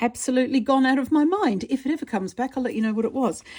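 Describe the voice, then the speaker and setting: A woman speaks in a dark, mellow tone with an Australian accent. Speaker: artist and art teacher. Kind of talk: tutorial. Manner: casual, rambling with fillers.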